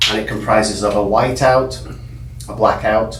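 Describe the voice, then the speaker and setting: In a strong English accent, a man talks at a moderate pace amid noticeable background noise and audible room echo. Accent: heavy English. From England, Liverpool. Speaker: window film business owner. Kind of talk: podcast interview.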